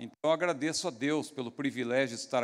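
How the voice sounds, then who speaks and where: A man speaks with ordinary pitch variation. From Brazil, outside Rio. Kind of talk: formal, pastoral greeting. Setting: church event.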